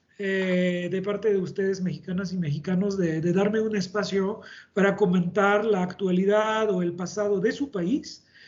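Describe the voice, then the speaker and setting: Speaking at a moderate pace, a man with a French accent has a high pitch and fairly even intonation. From France. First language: French (speaking Spanish). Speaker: engineering company director, panelist. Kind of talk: webinar panel discussion. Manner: halting.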